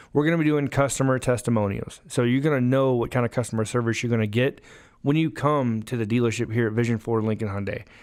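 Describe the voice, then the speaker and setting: Talking at a very fast pace with a Southern US accent, a man speaks at medium pitch with ordinary pitch variation, on a very clean recording with a silent background. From US South, Alabama. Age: 30s. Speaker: car salesman and podcast host. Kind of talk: podcast monologue.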